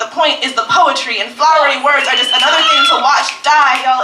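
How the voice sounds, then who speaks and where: Using a raised, projected voice, a woman speaks at a very fast pace. Her pitch variation is ordinary, against noticeable background noise. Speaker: slam poet. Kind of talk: slam poetry performance. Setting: live on a stage in front of an audience.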